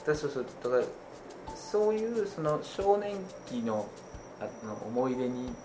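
A man's fairly high, very widely swinging voice at a fairly slow pace, broken by long, frequent pauses, with audible room echo. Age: 30s. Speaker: podcast host, gamer and father. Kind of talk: casual chat. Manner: hesitant, filler-heavy.

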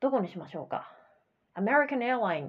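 Her voice somewhat breathy, a woman talks with very wide swings in pitch. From Japan. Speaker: English coach podcast host. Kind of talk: educational podcast monologue. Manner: casual, chatty with many fillers.

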